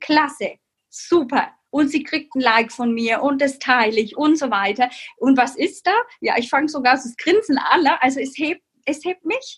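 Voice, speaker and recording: A woman speaks with lively intonation and a high pitch. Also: moderate pace. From Franconia, Germany (Bamberg). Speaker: numerology consultant. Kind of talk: interview.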